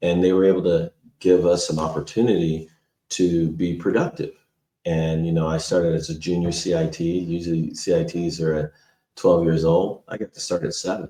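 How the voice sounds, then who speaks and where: With an American accent, a man talks at a moderate pace in a very deep, low voice. His tone is dark and mellow, his intonation monotone and flat. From California. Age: 60s. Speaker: parks and recreation director. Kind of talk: podcast interview.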